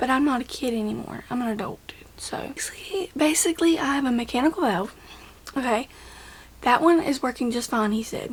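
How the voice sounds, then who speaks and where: A high-pitched woman at a fairly quick pace, lively in intonation, over noticeable background noise. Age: 20s. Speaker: vlogger, heart patient. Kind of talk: casual vlog talk. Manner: casual, repetitive.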